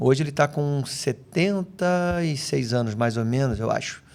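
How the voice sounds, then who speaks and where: A man with a Rio de Janeiro accent is heard in a very clean recording with a silent background. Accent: Rio de Janeiro (carioca). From Brazil, raised in several regions, much of it in Rio de Janeiro. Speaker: physical education professional. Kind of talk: casual chat.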